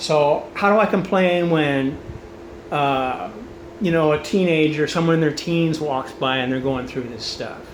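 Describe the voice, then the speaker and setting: A man with a fairly high pitch speaks at a fairly slow pace, using ordinary pitch variation. Audible room echo and noticeable background noise come through on the recording. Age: 60s. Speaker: cancer patient addressing family and friends. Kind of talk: personal video message. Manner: casual, conversational with many fillers.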